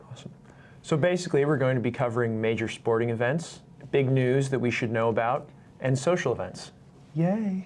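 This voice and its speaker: A man talks in an ordinary speaking voice at medium pitch. His pitch variation is ordinary and his pace fairly quick. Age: 20s. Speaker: student TV host. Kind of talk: live student TV show hosting. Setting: studio. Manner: upbeat.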